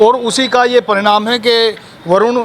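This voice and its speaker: A man's voice over noticeable background noise. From Delhi. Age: 60s. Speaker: local party worker. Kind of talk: street interview.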